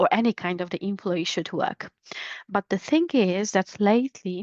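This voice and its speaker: A medium-pitched woman's voice, fairly slow, with ordinary pitch variation. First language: Polish. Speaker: business English trainer. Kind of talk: educational podcast monologue. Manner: hesitant, with fillers.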